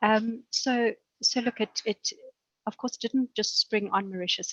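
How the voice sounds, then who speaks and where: The speaker has a South African accent and ordinary pitch variation. The sound is dry and close, with no echo. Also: woman. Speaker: banker. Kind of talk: webinar panel discussion.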